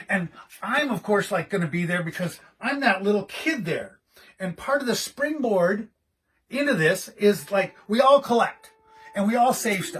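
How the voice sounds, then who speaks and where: A man speaks loudly in a high voice with an animated tone. His intonation is lively. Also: moderate pace. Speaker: collector and gallery co-owner. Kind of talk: casual video monologue.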